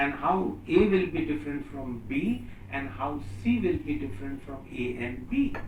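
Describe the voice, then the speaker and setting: Through audible room echo and noticeable background noise, a man with a fairly high voice talks at a very slow pace, his pitch swinging very widely. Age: 60s. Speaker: professor. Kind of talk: lecture. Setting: seminar room with students.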